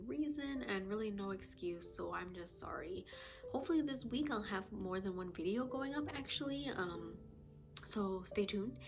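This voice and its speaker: Woman with an American accent, medium pitch, lively intonation, and audible room echo. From United States. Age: 20s. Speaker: vlogger. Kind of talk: casual chat. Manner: casual, many fillers.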